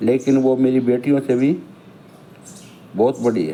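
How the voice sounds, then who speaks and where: Here a man talks. His voice has a medium pitch. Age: 60s. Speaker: elderly vlogger telling his life story. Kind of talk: autobiographical monologue.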